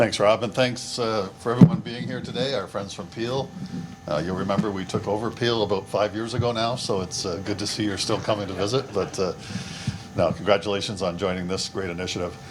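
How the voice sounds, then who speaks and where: A man speaks at a fairly quick pace and a fairly low pitch. There is noticeable background noise. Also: ordinary pitch variation. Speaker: police chief. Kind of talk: speech at event. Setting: podium at press event. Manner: soft-spoken.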